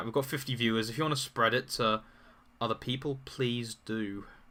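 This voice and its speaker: Recorded very cleanly with a silent background, a man with a British accent talks at a fairly quick pace in a bright, sharp tone at medium pitch. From UK. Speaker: political commentary streamer. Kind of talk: live stream talk answering chat. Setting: live stream with chat. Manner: halting, with repeated words.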